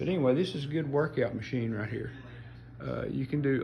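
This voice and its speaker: There is audible room echo as a man speaks. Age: 60s. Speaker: hobbyist showing his home gym. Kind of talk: casual show-and-tell. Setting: home gym. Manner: casual, halting with fillers.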